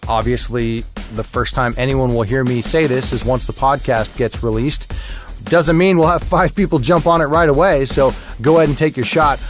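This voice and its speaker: With music in the background, a man talks in a relaxed tone at a fairly high pitch and a moderate pace. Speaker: podcast host and voice actor; audiobook narrator. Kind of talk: casual podcast intro talk. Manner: conversational, relaxed.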